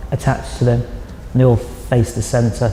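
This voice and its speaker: Noticeable background noise behind a man speaking at a medium pitch. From northern England (Chester). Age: 40s. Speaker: artist. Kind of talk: interview monologue about own artwork.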